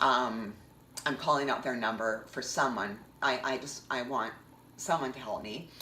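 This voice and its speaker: Amid noticeable background noise and audible room echo, a woman with a Canadian accent speaks at a fairly slow pace. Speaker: vlogger. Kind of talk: personal storytelling monologue. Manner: animated.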